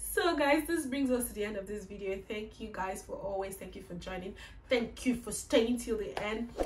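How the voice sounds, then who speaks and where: A woman in a Nigerian accent speaks at a moderate pace with ordinary pitch variation and big swings in loudness, with audible room echo and noticeable background noise. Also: fairly high pitch for a woman. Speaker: YouTuber. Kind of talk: casual vlog monologue. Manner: animated.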